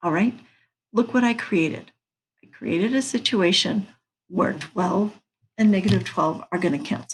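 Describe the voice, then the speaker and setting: The voice is somewhat breathy, with lively intonation. Long pauses come often. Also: woman, medium pitch for a woman, moderate pace. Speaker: math teacher. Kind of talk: lecture.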